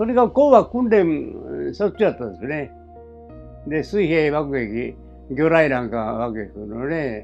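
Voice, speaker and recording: Over music in the background, a man with a fairly high pitch talks at a moderate pace with very wide pitch swings. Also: big swings in loudness. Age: 80s+. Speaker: war veteran. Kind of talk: interview answer. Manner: casual, conversational.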